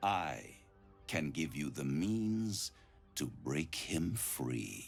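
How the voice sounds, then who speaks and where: A man's put-on character voice, very deep and low, theatrical in tone, at a very slow pace over clear background music. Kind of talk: video game voice acting. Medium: video game. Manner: silky, theatrical, condescending.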